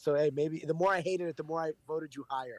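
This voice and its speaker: A man's fairly high voice with a New York accent and fairly even intonation, dry and close with no echo. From New York City. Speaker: radio host. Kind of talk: interview. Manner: casual, blunt.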